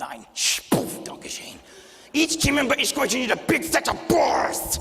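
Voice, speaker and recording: In a put-on character voice with extremely high pitch, a man talks at a moderate pace with a clear echo. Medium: stage play. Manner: barking, bossy.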